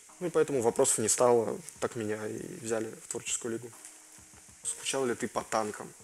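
A man speaks at a moderate pace with ordinary pitch variation and long, frequent pauses, with light background noise behind him. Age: 20s. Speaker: gaming YouTuber. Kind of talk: Q&A video, casual chat to viewers. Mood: joking, relaxed, some swearing.

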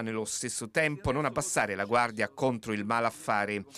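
A man's bright, sharp tone. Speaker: TV news reporter. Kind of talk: formal TV news report voiceover. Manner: formal; measured, steady newsreader delivery.

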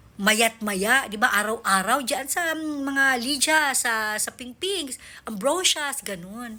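Her voice is high in pitch, with a bright, sharp tone and lively intonation, coming from a woman. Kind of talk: angry rant. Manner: sarcastic, exasperated and animated, scoffing with rhetorical questions.

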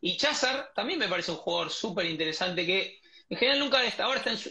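With a Rioplatense accent, a man talks very fast with lively intonation. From Argentina. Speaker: podcast host. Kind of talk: interview. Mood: warm, admiring. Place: home room. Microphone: earbuds.

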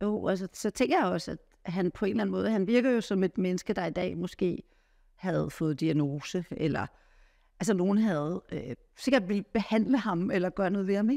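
Against a quiet background, a woman speaks with a dark, mellow tone and lively intonation. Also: moderate pace. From Denmark. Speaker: interviewer. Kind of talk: interview. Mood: warm, curious. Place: home room. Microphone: lapel.

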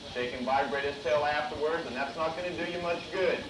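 This man's speech moves at a fairly quick clip while noticeable noise goes on in the background. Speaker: presenter. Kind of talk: educational show talk. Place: stage.

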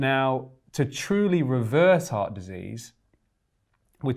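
This is a man speaking against a quiet background. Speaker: guest. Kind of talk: interview answer. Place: studio. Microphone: lapel.

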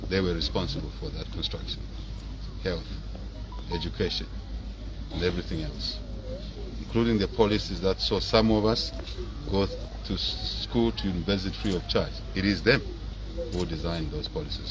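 A man speaks at a fairly quick pace. Noticeable background noise runs underneath. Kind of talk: press statement on a death, tribute. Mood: somber, mourning tribute. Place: garden. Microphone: handheld.

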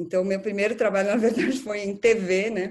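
Against a quiet background, a woman speaks. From Brazil, São Paulo. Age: 40s. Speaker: art curator; interviewee. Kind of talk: interview. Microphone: video call.

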